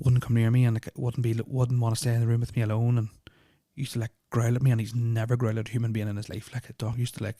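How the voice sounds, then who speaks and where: Speaking at a very fast pace, a man has a dark, mellow, somewhat breathy tone and a flat monotone, recorded with a dry, close sound and no echo. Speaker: podcast host. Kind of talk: storytelling. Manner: casual, hesitant with fillers.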